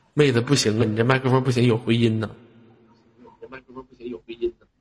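A man talks at a medium pitch. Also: big swings in loudness. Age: 20s. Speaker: live-stream host. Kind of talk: live-stream chat. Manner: animated.

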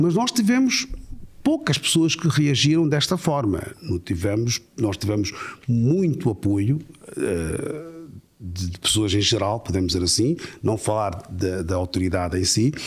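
Somewhat breathy and at a fairly slow pace, a man speaks in a medium pitch with very wide pitch swings. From Mozambique. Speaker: imam. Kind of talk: interview.

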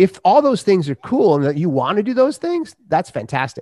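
With an American accent, a man talks at a fairly quick pace. His pitch swings very widely. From US Midwest, Minnesota. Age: 50s. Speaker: author and podcaster. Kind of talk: casual chat.

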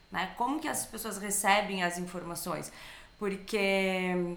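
A woman's voice comes with audible room echo. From Bento Gonçalves, southern Brazil. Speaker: business trainer. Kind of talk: casual chat.

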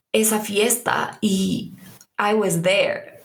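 With monotone, flat intonation and fairly high pitch, a woman speaks amid audible room echo. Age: 20s. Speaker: podcast host. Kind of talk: casual interview.

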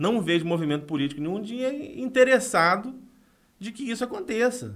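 A man with a high voice talks at a moderate pace, with big swings in loudness and very wide pitch swings. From Brazil, northern Rio de Janeiro state (São Francisco de Itabapoana). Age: 30s. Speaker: former city councillor, political adviser. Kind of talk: podcast interview.

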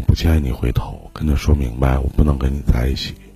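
Music plays in the background while a man speaks. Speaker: livestream relationship advice host. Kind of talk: live call-in advice chat. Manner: casual, joking.

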